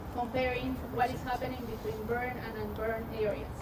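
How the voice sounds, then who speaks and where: A woman's high-pitched voice in a Peruvian accent, fairly even intonation and moderate pace, with audible room echo and noticeable background noise. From Peru, Amazon highlands. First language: Spanish. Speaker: scientist. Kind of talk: public science talk. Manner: interactive, engaging audience.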